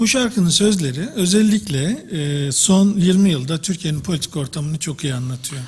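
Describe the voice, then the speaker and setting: A man speaks very fast with a Turkish accent. His high pitch carries lively intonation. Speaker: professor of drama education. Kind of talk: lecture. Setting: congress with audience.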